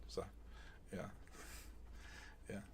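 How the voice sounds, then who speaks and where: The voice belongs to a man. He speaks with a British accent. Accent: British, received pronunciation. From England. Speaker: true crime streamer. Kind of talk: live-stream storytelling with chat. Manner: academic, lecture-like; hesitant, many fillers.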